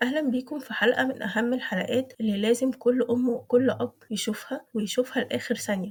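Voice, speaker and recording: In an Egyptian accent, this voice has a calm tone, fairly even intonation and a fairly quick pace. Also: woman. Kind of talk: parenting advice talk summarizing a book. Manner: calm, clear.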